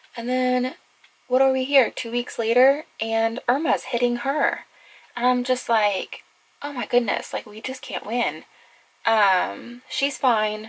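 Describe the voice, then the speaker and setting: In a relaxed tone, a woman with a high pitch speaks at a very slow pace with fairly even intonation. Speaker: makeup vlogger. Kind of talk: casual get-ready-with-me chat. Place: home room.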